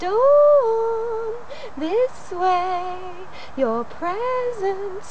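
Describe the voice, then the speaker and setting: A woman's put-on character voice, squeaky and extremely high, over loud background noise. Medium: read story. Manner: insistent, hypnotic.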